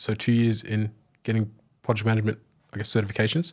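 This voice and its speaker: A man with an Australian accent, medium in pitch and very fast, on a very clean recording with a silent background. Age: 20s. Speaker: former trades assistant turned remote salesperson. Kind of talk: interview.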